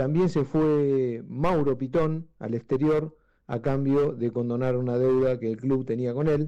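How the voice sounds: Speaking at a fairly slow pace, a man has a medium pitch and a dark, mellow tone. His intonation is fairly even.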